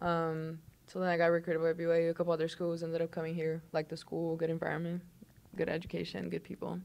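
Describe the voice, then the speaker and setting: Speaking very fast with a Portuguese accent, a woman keeps a fairly low pitch and a flat, monotone intonation. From southern Brazil, Londrina. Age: 20s. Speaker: college basketball player. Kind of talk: casual interview chat.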